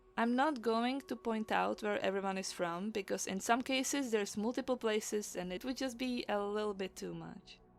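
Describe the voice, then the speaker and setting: A woman talks at a moderate pace, barely pausing, as music plays in the background. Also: ordinary pitch variation. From Czech Republic. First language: Czech. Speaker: illustrator and mythology storyteller. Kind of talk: narrated summary. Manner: casual, conversational.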